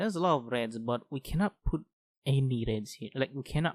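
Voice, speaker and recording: Recorded dry and close with no echo, a man with a non-native accent talks at a moderate pace with ordinary pitch variation. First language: not English. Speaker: gaming youtuber. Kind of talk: let's play commentary. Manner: halting; thinking aloud.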